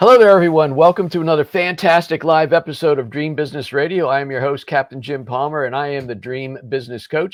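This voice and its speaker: A man with a fairly high pitch races along at a very fast pace with hardly any pauses and ordinary pitch variation. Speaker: podcast host and business coach. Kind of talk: podcast interview intro. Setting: in a motorhome. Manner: animated.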